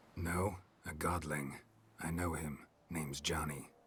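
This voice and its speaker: The put-on character voice sounds raspy and keeps to a moderate pace. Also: man, very deep, low pitch for a man. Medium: video game. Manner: terse, dry.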